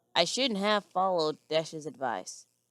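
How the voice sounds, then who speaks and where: Raspy, put-on character voice from a woman with a fairly low pitch at a moderate pace. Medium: read story.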